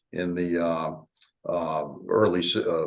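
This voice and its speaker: Very deep and low in pitch, a man speaks with a Southern US accent. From US South (North Carolina). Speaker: farming company executive. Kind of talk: interview. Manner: hesitant, many fillers.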